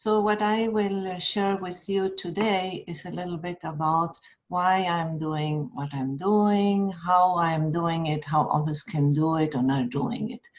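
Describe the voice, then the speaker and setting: Speaking at a fairly slow pace with an Argentine accent, a woman's somewhat breathy voice carries lively intonation. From Argentina. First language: Spanish. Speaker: educator. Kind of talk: webinar talk; guided meditation.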